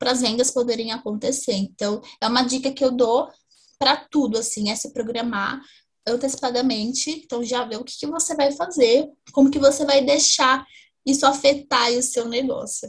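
A woman's high voice moves at a fairly slow pace with fairly even intonation. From Brazil, interior of São Paulo (Ribeirão Preto). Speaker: fashion retail strategist. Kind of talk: interview conversation. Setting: video call.

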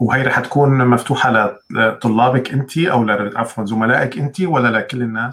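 Spoken at a fairly slow pace with hardly any pauses and ordinary pitch variation, it is a plain, everyday voice. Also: man, medium pitch for a man. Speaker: livestream host. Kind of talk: live interview. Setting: live stream online video call.

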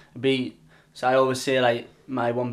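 A man speaks with a medium-pitched voice. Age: young. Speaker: podcast co-host. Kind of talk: scripted narration; casual chat.

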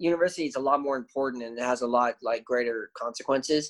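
In a Canadian accent, a man with an ordinary speaking voice talks at a fairly quick pace and a fairly high pitch. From Canada, Windsor, Ontario. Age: 20s. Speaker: English teacher. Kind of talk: casual chat.

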